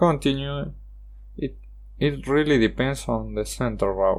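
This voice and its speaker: A speaker with a Spanish accent talks at a moderate pace. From Argentina. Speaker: gaming YouTuber. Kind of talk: card game review monologue. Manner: halting, with self-corrections.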